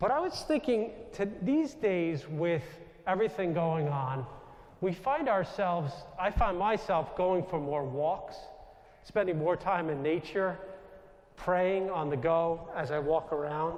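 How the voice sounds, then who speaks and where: A man talks loudly at a fairly slow pace. His pitch is high, and he has a New York accent. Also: ordinary pitch variation. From US Northeast, Long Island, New York. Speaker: Jesuit priest. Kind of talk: inspirational talk.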